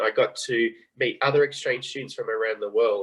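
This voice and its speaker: Talking at a fairly quick pace, a man speaks in an Australian accent. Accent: Australian, still noticeable. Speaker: former exchange student, guest speaker. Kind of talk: club talk on video call. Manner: fast.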